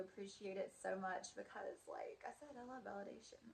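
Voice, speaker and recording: Noticeable background noise runs through the clip. The woman talking keeps a moderate pace. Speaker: vlogger. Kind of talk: casual vlog monologue. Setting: in her student housing room. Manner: chatty, many fillers. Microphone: wonky mic, may be quiet.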